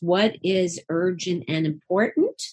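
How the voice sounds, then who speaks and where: This woman has a medium-pitched, unremarkable speaking voice with fairly even intonation. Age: 60s. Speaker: psychotherapist and sex therapist. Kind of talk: interview.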